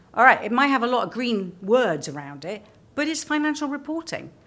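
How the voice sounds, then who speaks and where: A woman's bright, sharp tone comes with audible room echo. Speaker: sustainability executive. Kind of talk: conference presentation. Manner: fast; animated.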